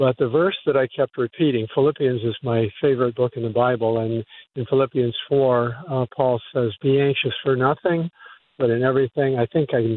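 This man has an unremarkable speaking voice with a medium pitch. He keeps a moderate pace, and his intonation stays fairly even. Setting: phone call.

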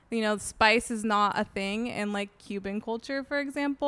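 Bright and sharp in tone, a woman's fairly high voice carries fairly even intonation. She speaks at a moderate pace on a very clean recording with a silent background. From San Diego, California. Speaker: recipe developer and blogger. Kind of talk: casual interview chat. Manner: casual, many fillers, laughs often.

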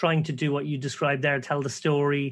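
A man with an Irish accent speaks in a quiet background. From Ireland. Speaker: professional poker player and podcast co-host. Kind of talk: casual interview conversation. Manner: animated.

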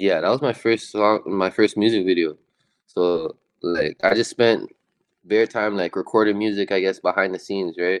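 A man with a Toronto accent speaks at a moderate pace in a fairly low pitch. His intonation is fairly even, and the sound is dry and close with no echo. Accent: Canadian (Toronto). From Toronto, Canada. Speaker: rapper. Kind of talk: casual chat.

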